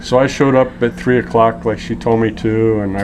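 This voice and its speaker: With noticeable background noise, a man with a Californian accent speaks at a fairly quick pace in a fairly low pitch and monotone, flat intonation. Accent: American (Californian). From US West Coast (Los Angeles). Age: 50s. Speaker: interview guest. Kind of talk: casual interview, storytelling. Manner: relaxed, chatty.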